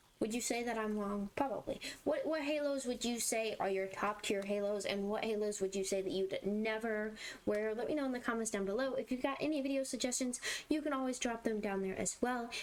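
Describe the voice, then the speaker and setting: A woman speaks at a fairly quick pace in a fairly high pitch with ordinary pitch variation, over noticeable background noise. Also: very even loudness. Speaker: gaming YouTuber. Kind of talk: casual gameplay commentary. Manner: repetitive, stammering restarts.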